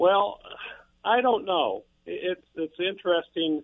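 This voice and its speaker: A man with a Midwestern American accent. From eastern Iowa. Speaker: caller. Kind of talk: call-in talk radio. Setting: phone call.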